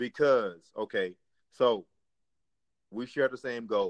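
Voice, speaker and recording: Fairly slow speech from a man at medium pitch, ordinary pitch variation, and a dry, close sound with no echo. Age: 20s. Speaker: podcast host. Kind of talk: casual chat.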